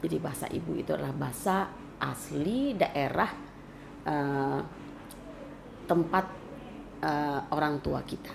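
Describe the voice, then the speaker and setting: A woman speaks at a fairly slow pace with a West Sumatran accent. She leaves long, frequent pauses, and the room echo is audible. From West Sumatra (Minangkabau). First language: Minangkabau (speaking Indonesian). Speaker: cultural commentator. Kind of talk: interview.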